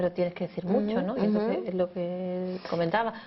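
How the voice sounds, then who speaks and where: Here a woman talks at a very fast pace. Her pitch sits in the medium range. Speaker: TV magazine presenter. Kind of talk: TV interview host.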